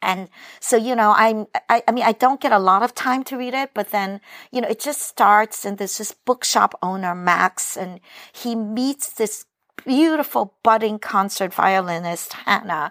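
Delivered at a moderate pace with ordinary pitch variation, this is a plain, everyday voice with a dry, close sound and no echo. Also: woman, fairly high pitch for a woman. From New York (Brooklyn), immigrated from Hong Kong at five. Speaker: novelist. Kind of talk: casual chat. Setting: remote recording from Cleveland.

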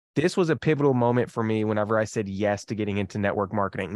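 A man talks at a very fast pace with ordinary pitch variation and an energetic tone. The sound is dry and close, with no echo. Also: quiet background. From Kentucky. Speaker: business coach. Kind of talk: podcast interview.

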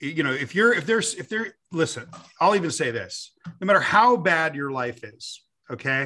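Against a quiet background, a man talks at a moderate pace. He speaks with an American accent. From US, Los Angeles. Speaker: author and lecturer. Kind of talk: interview conversation.

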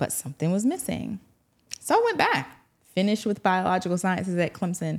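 With an American accent, a woman speaks at medium pitch and ordinary pitch variation. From South Carolina, US South. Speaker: physician. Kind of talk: casual interview.

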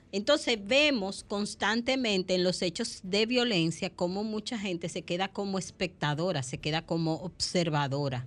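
A woman talks at a medium pitch in a plain, everyday voice. The background is quiet. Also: lively intonation, moderate pace. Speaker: psychologist and family therapist. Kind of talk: radio talk show.

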